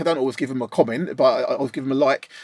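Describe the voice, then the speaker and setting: A man with an Essex accent is heard in a very clean recording with a silent background, the sound dry and close with no echo. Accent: Essex accent, milder than his guest's. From East London / Essex, England. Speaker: mixing and mastering engineer, channel host. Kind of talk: casual chat. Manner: casual, animated.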